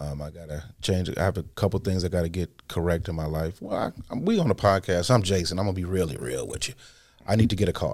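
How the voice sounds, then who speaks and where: Speaking at a very fast pace with an American accent, a man uses a very deep, low pitch with ordinary pitch variation. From US Midwest. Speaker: timeshare salesman. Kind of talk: casual interview chat.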